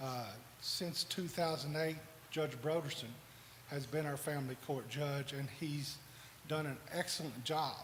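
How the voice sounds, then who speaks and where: A man's ordinary speaking voice, fairly high-pitched for a man, with fairly even intonation and a moderate pace. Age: 60s. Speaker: lawyer. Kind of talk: campaign speech.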